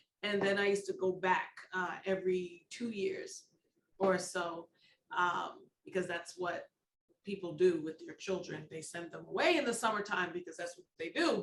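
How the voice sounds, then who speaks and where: A woman speaks in a medium pitch at a moderate pace. Hers is an unremarkable speaking voice with fairly even intonation. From United States. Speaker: dance school director. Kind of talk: interview.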